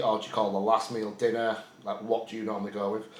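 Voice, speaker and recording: A man with a Yorkshire accent talks at a very fast pace and medium pitch. There is audible room echo and noticeable background noise. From Yorkshire, northern England. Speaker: bodybuilder and prep coach vlogger. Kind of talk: casual chat. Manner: casual, swearing, rambling.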